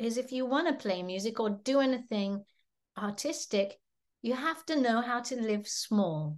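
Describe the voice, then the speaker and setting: A woman with an English accent speaks at a fairly slow pace, leaving long, frequent pauses. Her pitch is fairly high and her intonation lively. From England, seaside village. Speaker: musician. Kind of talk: interview.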